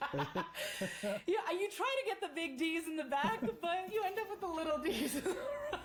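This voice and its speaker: Over noticeable background noise, a woman with an extremely high pitch and very wide pitch swings speaks in an animated tone at a fairly slow pace, with hardly any pauses. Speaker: podcast host. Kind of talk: casual chat.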